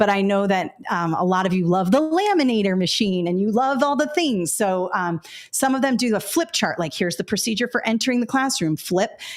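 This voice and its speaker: A woman with a medium pitch talks at a fairly quick pace with hardly any pauses, lively intonation and very even loudness. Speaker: educator and former assistant principal. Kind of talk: webinar presentation. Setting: live online webinar. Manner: casual, with many fillers.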